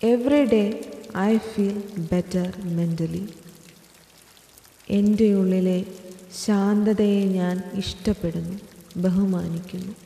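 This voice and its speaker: Soft-spoken and medium in pitch, a woman talks with fairly even intonation over noticeable background noise. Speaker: affirmation narrator. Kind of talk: guided affirmations.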